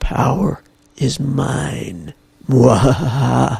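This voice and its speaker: A man cackles in a raspy, put-on character voice. His pitch sits in the medium range. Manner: evil, cackling.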